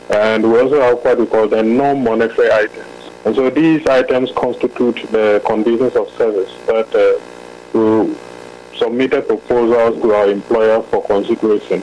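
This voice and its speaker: Amid noticeable background noise, a man talks at a moderate pace with very even loudness. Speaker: union or association official. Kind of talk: interview. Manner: hesitant, filler-heavy.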